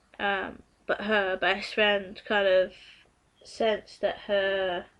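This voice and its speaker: At a very slow pace, the speech holds a very even loudness and a monotone, flat intonation. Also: woman, medium pitch for a woman. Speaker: video blogger. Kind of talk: casual vlog. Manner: hesitant, many fillers.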